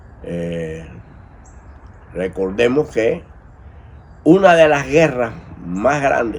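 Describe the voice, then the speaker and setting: There is audible room echo as a man at a medium pitch speaks at a very slow pace, with long, frequent pauses and very wide pitch swings. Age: 70s. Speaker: priest of Afro-Cuban religions. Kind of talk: commentary monologue.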